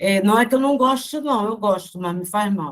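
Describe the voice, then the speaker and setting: A woman's plain, everyday voice, fairly slow in pace, with lively intonation. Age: 60s. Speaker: spiritist study group member. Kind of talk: casual group discussion.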